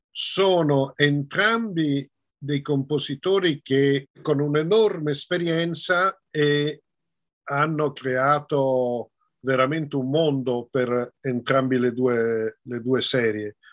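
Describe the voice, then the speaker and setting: Against a quiet background, a man with a fairly high pitch speaks very slowly, with ordinary pitch variation. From Belgium, Brussels (Italian family). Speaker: film director and screenwriter; interviewee. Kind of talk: interview. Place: home room. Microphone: video call.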